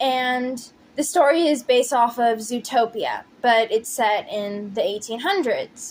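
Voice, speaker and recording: A woman talks at a high pitch and a fairly slow pace with ordinary pitch variation. She leaves hardly any pauses. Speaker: pixel artist and storyteller. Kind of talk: casual storytelling with timelapse narration. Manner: halting, stumbling over words. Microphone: poor audio quality.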